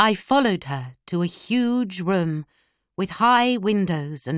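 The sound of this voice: Intonation is lively in an unforced reading voice. The background is quiet.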